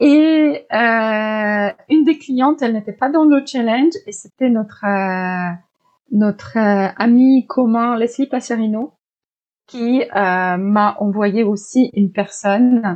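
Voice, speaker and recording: A woman with a Polish accent speaks very slowly at a fairly high pitch with ordinary pitch variation. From Poland. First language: Polish (speaking French). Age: 40s. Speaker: life coach. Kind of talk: interview.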